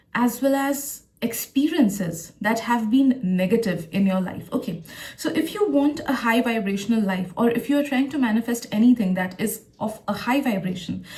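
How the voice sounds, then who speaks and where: With hardly any pauses, a woman talks at a moderate pace and fairly high pitch, her intonation lively over noticeable background noise. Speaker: tarot reader and psychic. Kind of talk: tarot reading to camera. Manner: occasional stutter.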